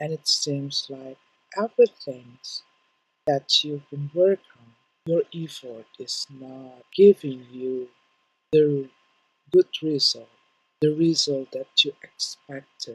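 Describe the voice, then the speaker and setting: A very slow delivery in a non-native accent, full of long, frequent pauses. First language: not English. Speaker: tarot reader. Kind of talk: tarot reading. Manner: halting.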